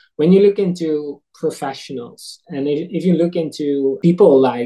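A man speaks with a Dutch accent and a dark, mellow tone. His pitch variation is ordinary. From eastern Netherlands. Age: 30s. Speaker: food nonprofit director. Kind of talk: interview. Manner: halting.

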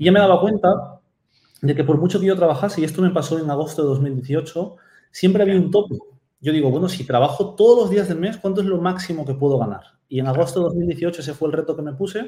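At a very fast pace, a man speaks in a dark, mellow tone with a high pitch and ordinary pitch variation. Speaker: Amazon seller and mentor. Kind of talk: interview. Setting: video call.

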